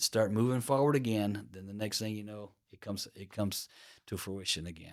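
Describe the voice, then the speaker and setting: A man talks in an unremarkable speaking voice at a moderate pace with ordinary pitch variation. The recording is very clean, with a silent background. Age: 60s. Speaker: podcast host. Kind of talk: motivational talk. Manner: casual, with fillers and restarts.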